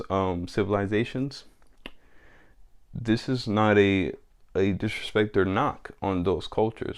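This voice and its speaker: A man with a fairly low voice. He speaks very slowly. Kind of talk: casual monologue vlog.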